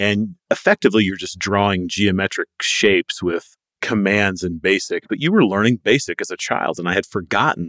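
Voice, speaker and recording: The speaker is a man with a plain, everyday voice. His pitch is fairly low and his pace moderate. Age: 40s. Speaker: podcast host. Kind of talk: interview.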